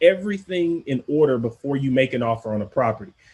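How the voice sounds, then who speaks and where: A somewhat breathy man with a fairly high pitch talks at a moderate pace with lively intonation. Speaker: podcast host, real estate investor. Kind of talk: instructional podcast monologue. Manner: casual, conversational.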